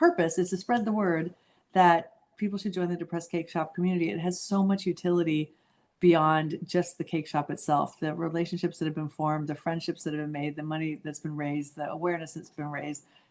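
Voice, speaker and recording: A woman with a fairly low pitch and ordinary pitch variation keeps up a fairly quick pace. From Southern California. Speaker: charity founder. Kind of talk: interview. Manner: fast.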